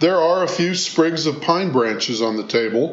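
With music in the background, a man speaks at a moderate pace, his fairly high pitch paired with lively intonation. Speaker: cookbook author. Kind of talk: scripted narration.

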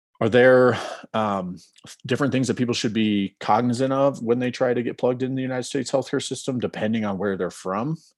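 Against a quiet background, a man with an ordinary speaking voice talks fairly quickly at medium pitch with ordinary pitch variation. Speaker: podcast co-host, medical student. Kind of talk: podcast interview.

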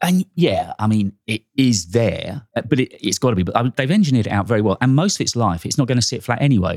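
The speech races along at a very fast pace with lively intonation. The sound is dry and close, with no echo. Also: man, medium pitch for a man, hardly any pauses. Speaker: tech YouTuber and podcast co-host. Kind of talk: casual chat. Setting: studio. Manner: animated.

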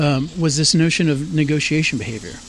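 Over noticeable background noise, a man with an American accent talks with fairly high pitch and ordinary pitch variation. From San Antonio, Texas. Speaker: artist. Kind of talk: interview. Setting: outdoors.

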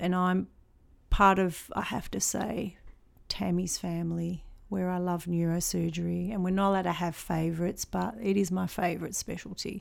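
A woman speaks at a moderate pace and a medium pitch. She has a normal speaking voice. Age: 50s. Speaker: theatre technician. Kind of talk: interview.

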